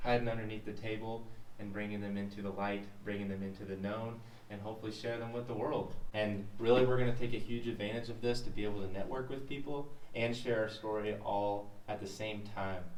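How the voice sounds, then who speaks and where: With noticeable background noise and audible room echo, a man speaks fairly quickly at a fairly low pitch. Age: 20s. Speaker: podcast host, young entrepreneur. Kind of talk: casual podcast chat.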